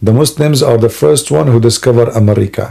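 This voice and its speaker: A man with an Arabic accent speaks at a moderate pace and a medium pitch. His dark, mellow tone is somewhat breathy, with lively intonation. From Middle East. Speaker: live stream host debating religion. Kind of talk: live stream chat with callers. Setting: live online broadcast. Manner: animated, joking.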